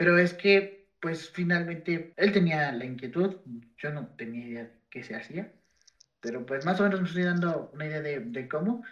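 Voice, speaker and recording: With lively intonation, a man speaks at a high pitch. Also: moderate pace. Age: 20s. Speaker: podcast co-host, sociology graduate. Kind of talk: casual chat. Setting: video call from home. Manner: halting, many fillers.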